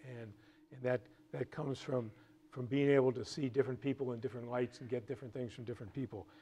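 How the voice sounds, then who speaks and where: Speaking very fast, a man uses a somewhat breathy, medium-pitched voice with fairly even intonation and big swings in loudness. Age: 60s. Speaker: real estate executive. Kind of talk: lecture. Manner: halting, many repetitions.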